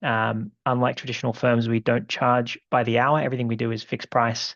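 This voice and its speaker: Dry and close with no echo, a man's voice moves at a fairly quick pace in a monotone with flat intonation. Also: medium pitch for a man. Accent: Australian. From Australia. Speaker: law firm co-founder, webinar presenter. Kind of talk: webinar presentation. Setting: online webinar. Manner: halting, many fillers. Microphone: one viewer reported bad sound.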